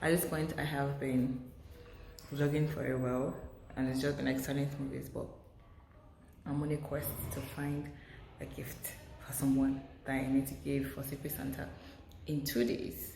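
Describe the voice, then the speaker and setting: A woman whispering at a moderate pace, with long, frequent pauses, music in the background and audible room echo. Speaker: lifestyle vlogger. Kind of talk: casual vlog.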